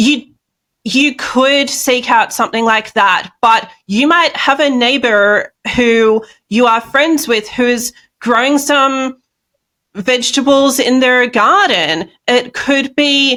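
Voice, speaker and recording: Speaking very slowly in an Australian accent, a woman has a high pitch, a bright, sharp tone, very even loudness and ordinary pitch variation. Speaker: speaker and health coach. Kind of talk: interview conversation.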